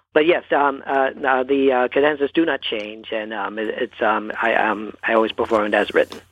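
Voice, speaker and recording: A man with a Canadian accent at a medium pitch, a moderate pace and ordinary pitch variation. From Toronto, Canada. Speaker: pianist and composer. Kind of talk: interview. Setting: phone call. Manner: halting, many fillers.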